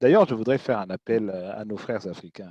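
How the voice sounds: With a dark, mellow tone and a slightly husky edge, a man talks at a moderate pace with lively intonation, the sound dry and close with no echo.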